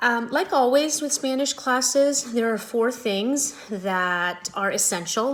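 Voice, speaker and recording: A woman talks at a fairly slow pace. She has an unremarkable speaking voice with ordinary pitch variation. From US West, Las Vegas, Mexican-American family. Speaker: high school Spanish teacher. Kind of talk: back-to-school night talk to parents. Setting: video call.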